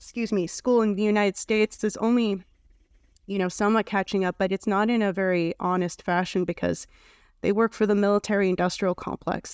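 In a very clean recording with a silent background, a woman speaks at a medium pitch and moderate pace in a monotone, flat delivery, the sound dry and close with no echo. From Canada. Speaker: foundation president and writer. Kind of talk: podcast interview.

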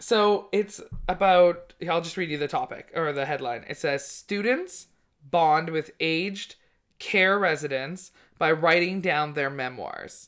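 This woman has a Canadian accent and a plain, everyday voice, pitched fairly low with ordinary variation. She speaks at a fairly slow pace in a very clean recording with a silent background. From Canada, British Columbia. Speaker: comedian podcast host. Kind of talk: casual chat. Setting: studio.

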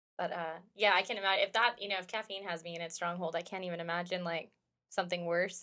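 A woman speaks very fast in a fairly low pitch. Her tone is bright and sharp, and her intonation is monotone and flat. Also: very clean recording, silent background. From United States. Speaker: roller derby player. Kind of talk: casual chat.

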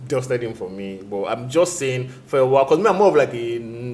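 A man's pitch moves in an ordinary way while noticeable noise carries on in the background. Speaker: music reviewer. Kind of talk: casual chat. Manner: halting.

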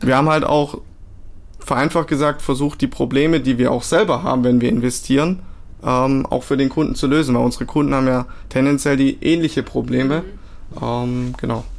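Fairly high in pitch, a man speaks at a moderate pace. His intonation stays fairly even. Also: very even loudness. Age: 20s. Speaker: crypto product manager. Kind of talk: interview. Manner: hesitant with many fillers.

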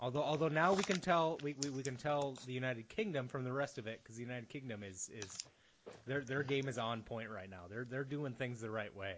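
Using a plain, everyday voice, a man with an American accent speaks at a fairly quick pace in a medium pitch with ordinary pitch variation. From US Midwest. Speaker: podcast host. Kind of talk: casual chat.

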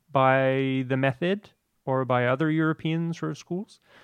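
An ordinary speaking voice from a man at medium pitch, at a fairly slow pace with ordinary pitch variation, against a quiet background, with a dry, close sound and no echo. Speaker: actor, guest. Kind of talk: casual chat.

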